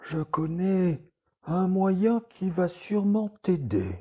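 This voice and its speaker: At a very slow pace, a man puts on a character voice with a high pitch and ordinary pitch variation. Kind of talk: bedtime relaxation story. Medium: read story. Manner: slow, soothing, meditative.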